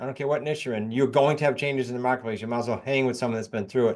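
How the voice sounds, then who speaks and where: A man speaks with a New England accent. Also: quiet background. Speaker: real estate investor and coach. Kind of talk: podcast interview.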